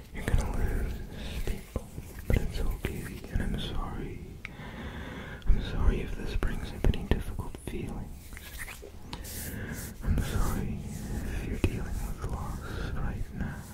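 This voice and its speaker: Gentle whispering at a fairly slow pace, with long, frequent pauses and noticeable background noise. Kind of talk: ASMR whispered ramble. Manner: whispered, soft-spoken; slow, gentle.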